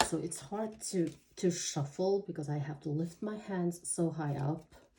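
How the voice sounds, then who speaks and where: In a non-native accent, a woman speaks at a fairly slow pace in a fairly low pitch with ordinary pitch variation. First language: not English. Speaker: tarot reader. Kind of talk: tarot reading monologue. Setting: home, seated at table. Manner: halting, many fillers.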